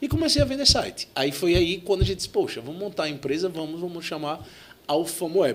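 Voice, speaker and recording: Fairly quick and lively in intonation, a man talks at a high pitch with a Sergipe accent. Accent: Sergipe northeastern Brazilian. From Sergipe, northeastern Brazil. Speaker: tech entrepreneur, CEO. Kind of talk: podcast interview.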